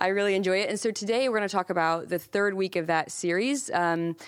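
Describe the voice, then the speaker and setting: A woman with a plain, everyday voice, ordinary pitch variation and a moderate pace. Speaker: podcast host. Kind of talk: casual interview.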